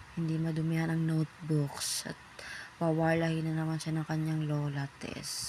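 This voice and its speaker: The speaker talks at a fairly slow pace in a flat, monotone delivery. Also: woman. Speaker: first-time vlogger, parent. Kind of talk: casual vlog voiceover. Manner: casual, chatty.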